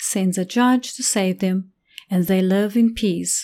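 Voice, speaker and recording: A woman speaks with a dark, mellow tone. Her pace is fairly slow. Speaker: preacher. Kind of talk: narrative sermon, storytelling; dramatic storytelling narration. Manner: animated, dramatic storyteller; expressive, suspenseful.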